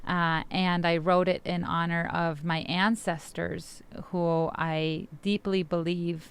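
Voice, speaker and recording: A woman with a Spanish accent speaks in a fairly low, monotone voice with flat intonation on a very clean recording with a silent background. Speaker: poet and immigrant rights activist. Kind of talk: interview talk introducing a poem.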